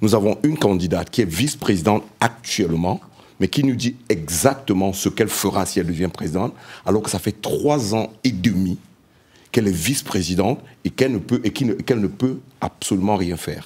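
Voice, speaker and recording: With a plain, everyday voice, a man speaks at a fairly low pitch with lively intonation. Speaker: panelist, diaspora member. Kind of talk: panel debate. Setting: round table with live audience.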